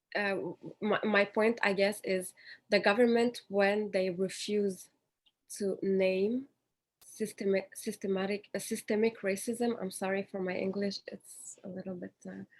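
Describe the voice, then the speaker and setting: Her intonation stays monotone and flat as the woman speaks at a fairly slow pace. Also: medium pitch for a woman. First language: French. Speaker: panelist. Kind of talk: panel discussion.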